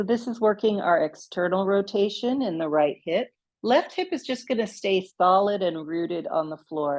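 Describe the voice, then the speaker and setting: Medium pitch for a woman, in an ordinary speaking voice. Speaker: yoga instructor. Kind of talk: guided yoga class. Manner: slow, calm pacing.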